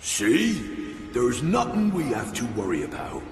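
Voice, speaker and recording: Using a put-on character voice, a man talks at a moderate pace, with slight echo and clear background noise. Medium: machinima. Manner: teasing, jovial.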